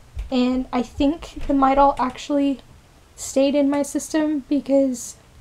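Her voice is high-pitched for a woman and delivered in a flat monotone. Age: 20s. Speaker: vlogger. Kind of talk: casual vlog monologue; casual vlog chat. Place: home room. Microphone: phone near.

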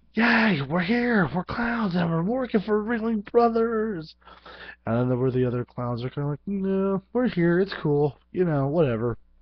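Against a quiet background, a man speaks at a moderate pace in a dry sound with no echo. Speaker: vlogger. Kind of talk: casual vlog chat. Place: home room. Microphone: headset.

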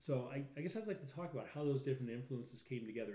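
The voice races along at a very fast pace with lively intonation, a dark, mellow tone and a somewhat breathy quality. Audible room echo surrounds it. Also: man. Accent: American. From Chicago, North Side; Chicago. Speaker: lawyer, podcast co-host. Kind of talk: casual chat. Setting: live stream. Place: home room.

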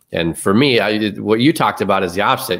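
Against a quiet background, a man with a fairly low pitch speaks with ordinary pitch variation. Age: 30s. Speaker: podcast host. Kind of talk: casual interview chat. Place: home room.

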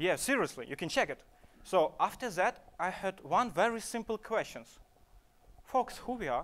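Big pitch swings and a fairly bright tone come from a man with a high pitch. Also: moderate pace.

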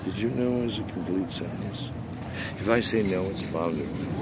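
Over loud background noise, a man talks at a moderate pace. His pitch varies in an ordinary way, and the sound is dry with no echo. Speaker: voice actor. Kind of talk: angry rant to camera. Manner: angry, aggressive. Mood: angry, confrontational. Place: street. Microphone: phone near.

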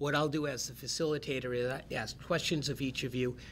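A man's bright, sharp voice in a monotone, flat delivery at a fairly quick pace, with light background noise. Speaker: event facilitator. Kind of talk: event introduction. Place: meeting room.

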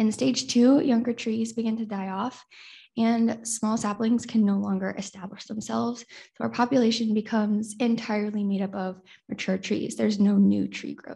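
A woman's fairly high, somewhat breathy voice with fairly even intonation, over a quiet background. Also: moderate pace. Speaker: university student presenter. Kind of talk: conference lightning talk. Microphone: webcam.

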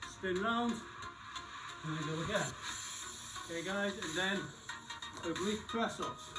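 A man speaks with ordinary pitch variation. Clear music plays behind him. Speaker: fitness instructor. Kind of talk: live workout coaching. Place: garden. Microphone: camera far.

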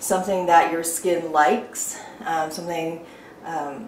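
Over light background noise and audible room echo, a woman with a fairly low pitch speaks at a fairly slow pace with ordinary pitch variation. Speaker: beauty vlogger. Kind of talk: tutorial. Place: bathroom.

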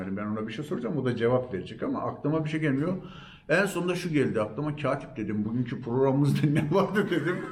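Very fast and somewhat breathy, a man talks in a fairly high pitch with lively intonation. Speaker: storyteller and actor. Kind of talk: interview answer.

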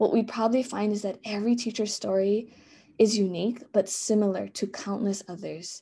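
Speaking with a Hawaiian accent, a woman at medium pitch has a somewhat breathy voice and a dark, mellow tone, her intonation monotone and flat against a quiet background. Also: fairly quick pace. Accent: Hawaii English. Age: 30s. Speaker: elementary school teacher. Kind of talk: conference presentation. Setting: video call. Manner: frequent fillers and repetitions.

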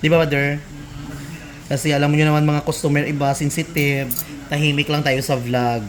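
Fairly high in pitch, a man talks at a fairly quick pace with very even loudness. He leaves long, frequent pauses over noticeable background noise. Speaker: nail care vlogger. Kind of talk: casual vlog narration. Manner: animated.

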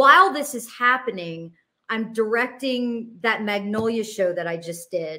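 A woman speaks at a fairly slow pace with a bright, sharp tone and ordinary pitch variation. The background is quiet. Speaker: interview guest. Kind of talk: interview answer. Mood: emotional, intense personal story. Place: home room. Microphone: headset.

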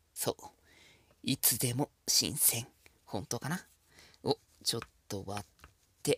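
Speaking at a very slow pace with long, frequent pauses, a man uses a bright, sharp tone, lively intonation and big swings in loudness, in a dry, close sound with no echo. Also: medium pitch for a man. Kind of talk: ASMR-style cooking tutorial, intimate flirty patter to the viewer. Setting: solo home cooking video, close-mic ASMR. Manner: casual and chatty, stumbling and self-correcting as he cooks one-handed.

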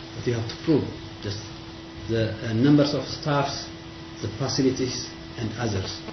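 Against noticeable background noise, a man speaks at a moderate pace with long, frequent pauses, ordinary pitch variation, and big swings in loudness. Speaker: university dean; presenter. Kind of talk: formal discussion. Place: meeting room. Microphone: camera far.

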